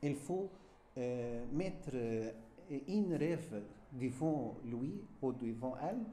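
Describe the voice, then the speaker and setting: Over audible room echo, a man with a dark, mellow tone speaks very slowly, his lively intonation broken by long, frequent pauses. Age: 60s. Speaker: French teacher. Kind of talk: interview. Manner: halting, many hesitations.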